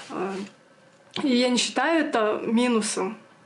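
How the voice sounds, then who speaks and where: Amid noticeable background noise and audible room echo, a woman speaks at a high pitch with a Yakut accent. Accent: Yakut accent in Russian. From Yakutia, Russia. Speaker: video blogger. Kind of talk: casual Q&A chat. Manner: hesitant, many fillers.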